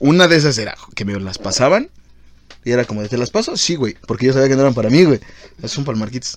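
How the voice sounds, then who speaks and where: Speaking at a very fast pace but with long, frequent pauses, a man uses lively intonation at medium pitch. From Mexico City. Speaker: podcast host. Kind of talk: casual chat.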